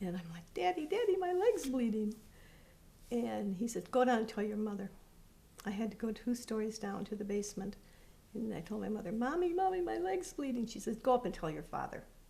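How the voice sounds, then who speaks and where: Over noticeable background noise, a woman talks at a fairly quick pace with a fairly high pitch that swings very widely. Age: 70s. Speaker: interviewee recounting her childhood. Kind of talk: personal testimony interview. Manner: halting.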